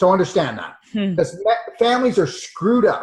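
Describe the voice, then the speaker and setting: Lively intonation marks this man's speech, which moves at a fairly quick pace. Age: 60s. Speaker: natural medicine doctor. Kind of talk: interview.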